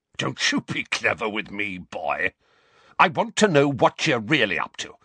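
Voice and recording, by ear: A put-on character voice with a bright, sharp tone and a slightly husky edge swings widely in pitch at a fairly slow pace. The sound is dry and close, with no echo. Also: man, fairly low pitch for a man.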